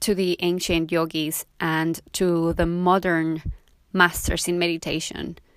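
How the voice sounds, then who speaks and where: A woman with a Spanish accent, fairly low in pitch, at a fairly slow pace, on a very clean recording with a silent background. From Mexico. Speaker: yoga teacher and podcast host. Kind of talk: podcast monologue.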